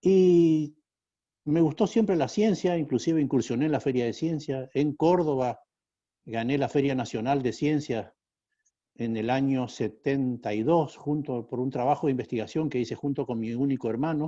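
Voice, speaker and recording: A man speaks at a moderate pace with a northeastern Argentine accent, his dark, mellow voice sitting fairly high in pitch with ordinary variation against a quiet background. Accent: Argentine Spanish, northeastern (Corrientes). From Argentina, Corrientes. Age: 60s. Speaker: school founder and entrepreneur. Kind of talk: interview.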